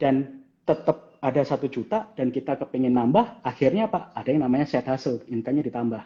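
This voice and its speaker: Talking very fast with hardly any pauses, a man with a medium pitch and a dark, mellow tone shows ordinary pitch variation. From Java, Indonesia. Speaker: financial planner. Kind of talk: casual live-stream interview. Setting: Instagram live stream. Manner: animated.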